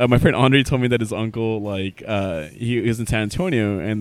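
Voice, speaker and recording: With an unremarkable speaking voice, a man talks at a fairly quick pace, his fairly low pitch held in fairly even intonation. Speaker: podcast host. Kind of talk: casual chat. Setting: bar.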